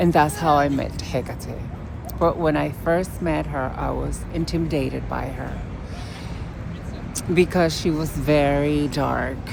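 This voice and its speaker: Spoken in a strong Puerto Rican accent, the clip has long, frequent pauses, audible room echo and noticeable background noise. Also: woman. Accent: heavy Puerto Rican. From Puerto Rico. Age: 50s. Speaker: witch vlogger. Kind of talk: casual vlog monologue. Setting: outdoors in a city park. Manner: halting.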